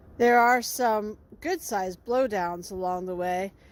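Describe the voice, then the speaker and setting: In a very clean recording with a silent background, a woman talks at a moderate pace and medium pitch with ordinary pitch variation. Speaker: naturalist and nature educator. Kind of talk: guided nature walk narration. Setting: outdoors in the woods.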